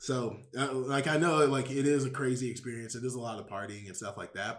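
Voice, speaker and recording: Audible room echo is heard in this clip. The speaker is a man with an American accent. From Houston, Texas. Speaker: MBA student. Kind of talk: casual interview. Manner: filler-heavy casual speech.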